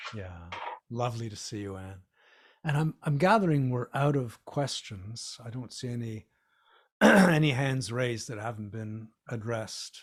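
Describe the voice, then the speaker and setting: A man talks at a fairly slow pace and medium pitch, somewhat breathy. His intonation is lively and his loudness swings widely. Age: 60s. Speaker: fitness author. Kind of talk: casual chat. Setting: video call.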